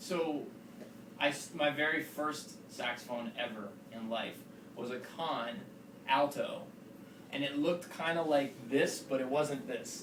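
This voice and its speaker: Through noticeable background noise and audible room echo, a man with a fairly high pitch and ordinary pitch variation talks at a fairly slow pace with long, frequent pauses. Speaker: saxophonist giving a masterclass. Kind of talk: masterclass talk. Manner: casual, hesitant with fillers.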